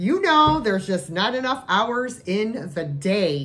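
Over music in the background, a woman speaks with very wide pitch swings. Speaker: thrift reseller. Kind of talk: casual vlog chat. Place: home room. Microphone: phone near.

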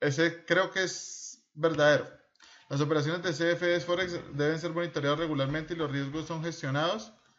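At a moderate pace, a man talks at a high pitch with fairly even intonation. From Colombia. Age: 30s. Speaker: trading instructor. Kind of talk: screen-recorded tutorial. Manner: informal, conversational.

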